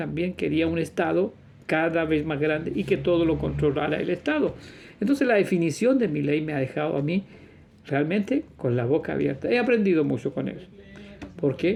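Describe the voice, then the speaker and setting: A man speaks at a moderate pace. His pitch is high and his intonation lively. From Chile. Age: 60s. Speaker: religious teacher / video preacher. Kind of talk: religious monologue.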